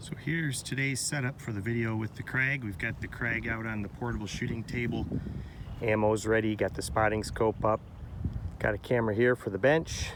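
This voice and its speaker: There is noticeable background noise behind this man. He talks fairly quickly at a medium pitch. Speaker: rifle shooter. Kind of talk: casual talk to camera. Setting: outdoors.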